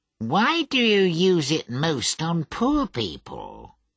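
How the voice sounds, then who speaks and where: In a put-on character voice at a middle pitch, the speaker goes at a very slow pace over a quiet background. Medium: read story. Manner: quiet, subdued.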